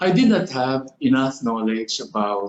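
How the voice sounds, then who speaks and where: A man's medium-pitched voice moves along at a very slow pace. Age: 60s. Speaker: doctor. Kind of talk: testimony. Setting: video call. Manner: formal.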